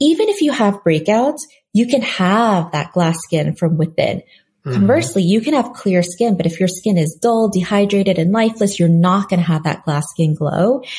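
Somewhat breathy and dark, mellow in tone, a woman at a medium pitch speaks at a moderate pace with lively intonation and very even loudness. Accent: American. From South Korea and New York. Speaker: skincare entrepreneur. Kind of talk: interview.

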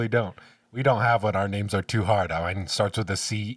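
The speech is plain reading aloud with fairly even intonation.

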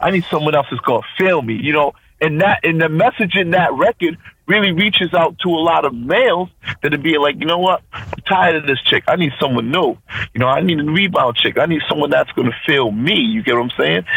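Speaking at a fairly quick pace with lively intonation, a man uses an ordinary speaking voice pitched fairly high. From Providence, Rhode Island, US. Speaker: DJ. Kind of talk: interview.

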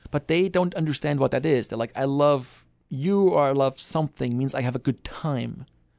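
A man's fairly high voice with a German accent, a moderate pace and ordinary pitch variation, dry and close with no echo, against a quiet background. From Germany. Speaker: psychology professor. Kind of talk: casual interview. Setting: studio.

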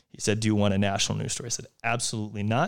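With an American accent, a man speaks at a fairly low pitch with vocal fry and ordinary pitch variation in a very clean recording with a silent background. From US Northeast, outside Philadelphia. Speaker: venture capitalist and former basketball player. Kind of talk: casual interview.

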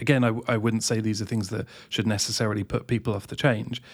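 A man's medium-pitched voice at a very fast pace, in a very clean recording with a silent background. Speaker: EV advice website owner, guest. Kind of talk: casual chat, interview.

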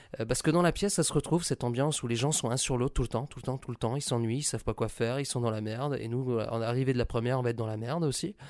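This recording is very clean, with a silent background. The talking races along at a very fast pace. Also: man. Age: 20s. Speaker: actor. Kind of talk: recorded interview. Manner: casual and animated.

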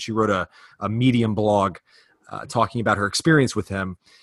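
In an ordinary speaking voice with an American accent, a man talks at a fairly quick pace and fairly low pitch, with ordinary pitch variation. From US South, Virginia. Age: 30s. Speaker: fitness podcast host. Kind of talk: casual interview; promotional read.

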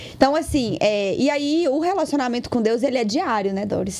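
With lively intonation, a woman speaks at a moderate pace over noticeable background noise. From Brazil, Minas Gerais (Lagoa Santa). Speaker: digital influencer. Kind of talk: casual chat.

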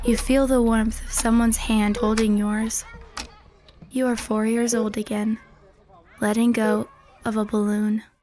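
Against noticeable background noise, a woman with a fairly high pitch speaks fairly slowly in a monotone, flat way, with long, frequent pauses. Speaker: narrator. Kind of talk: horror narration, second-person scripted story read aloud. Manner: measured, hushed, ominous; deadpan, clipped, building dread.

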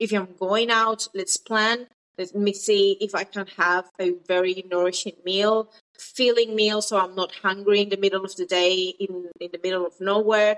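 A woman at medium pitch talks in a monotone with flat intonation. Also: moderate pace. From South America. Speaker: dietitian and online nutrition coach. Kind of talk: casual interview chat.

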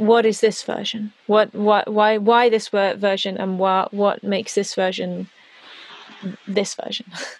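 Against noticeable background noise, a woman speaks at a fairly slow pace in a monotone, flat delivery. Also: medium pitch for a woman. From Netherlands, Amsterdam, English parents. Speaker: pop singer-songwriter. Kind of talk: casual chat. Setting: home studio, remote call.

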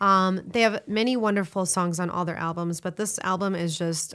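A woman with an American accent speaks at a fairly quick pace in a plain, everyday voice, her pitch fairly low and her intonation fairly even, on a very clean recording with a silent background. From Florida, US. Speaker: restaurant owner and bartender. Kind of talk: casual chat.

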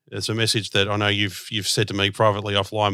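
A man's fairly low, bright, sharp voice with an Australian accent at a very fast pace, on a very clean recording with a silent background. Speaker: podcast host. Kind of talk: podcast interview; scripted announcement.

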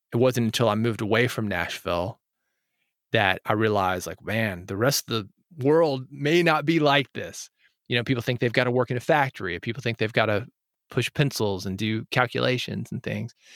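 An ordinary speaking voice: a man with an American accent at a medium pitch, with ordinary pitch variation and a fairly quick pace, recorded very clean against a silent background in a dry, close sound with no echo. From US South. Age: 40s. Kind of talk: interview. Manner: casual.

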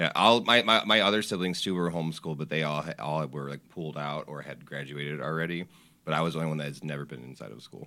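With an American accent, a man speaks at a very fast pace in a very deep, low pitch, his bright, sharp tone carrying vocal fry, ordinary pitch variation and big swings in loudness. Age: 30s. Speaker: old friend, cook. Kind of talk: casual chat.

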